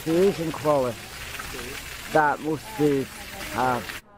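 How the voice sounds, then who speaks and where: A man's voice with ordinary pitch variation over noticeable background noise. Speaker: wheelchair-using vlogger. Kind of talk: casual vlog talk to camera.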